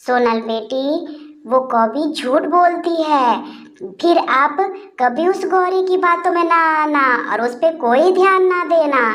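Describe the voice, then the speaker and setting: Putting on a cartoonish character voice, a woman talks at a fairly slow pace in a high pitch with lively intonation. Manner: soft, affectionate.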